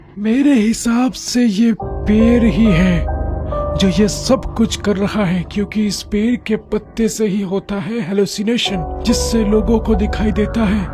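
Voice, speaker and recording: Over clear music in the background, a cartoonish character voice with a fairly high pitch speaks at a fairly slow pace. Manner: calm, reasoning.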